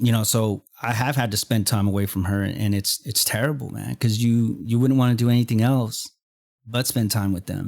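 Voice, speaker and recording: Over a very clean recording with a silent background, a man with an American accent and a plain, everyday voice speaks at medium pitch and a moderate pace with fairly even intonation. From Texas. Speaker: podcast host. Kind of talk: casual interview.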